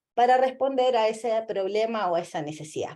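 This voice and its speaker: A woman speaks at a moderate pace in a fairly high pitch. Her tone is dark and mellow. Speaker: lecturer, UX designer. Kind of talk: lecture.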